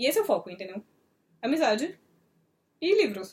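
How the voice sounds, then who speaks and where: Her pitch swings very widely. The woman's tone is animated. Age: young. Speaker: book reviewer, video host. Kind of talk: casual chat, book review. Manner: fast.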